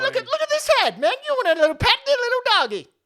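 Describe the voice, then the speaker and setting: This put-on character voice sits at an extremely high pitch. The words come out at a very fast pace. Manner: annoying, goofy.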